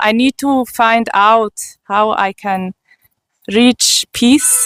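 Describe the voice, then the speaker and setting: A woman's fairly high voice in a German accent, very slow with fairly even intonation, in a dry, close sound with no echo. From Switzerland. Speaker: spiritual seeker giving testimony. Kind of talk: testimony.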